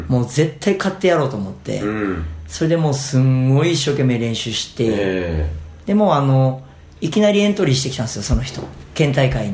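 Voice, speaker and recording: A somewhat breathy man's voice at medium pitch, fairly quick, with very wide pitch swings and audible room echo. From Fukui, Japan (Tsuruga). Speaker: tennis coach. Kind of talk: casual interview.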